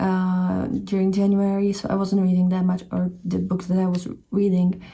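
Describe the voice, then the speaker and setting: With a Czech accent, a woman speaks in a somewhat breathy, dark, mellow tone at a fairly low pitch. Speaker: book and bullet journal vlogger. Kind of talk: casual vlog chat. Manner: hesitant, frequent fillers and self-corrections.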